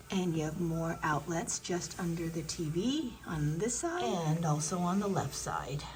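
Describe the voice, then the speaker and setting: Over noticeable background noise and audible room echo, a woman talks at a fairly slow pace in a fairly low pitch with ordinary pitch variation. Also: hardly any pauses. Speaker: travel vlogger. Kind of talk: room tour narration. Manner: casual, chatty.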